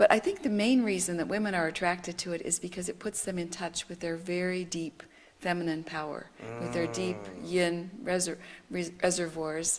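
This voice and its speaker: Fairly low in pitch, a woman speaks at a moderate pace with ordinary pitch variation in a plain, everyday voice. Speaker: Taoist teacher. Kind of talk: interview answer.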